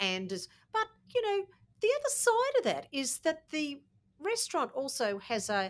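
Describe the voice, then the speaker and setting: This very clean recording with a silent background features a woman with an Australian accent. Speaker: podcast co-host. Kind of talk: casual chat.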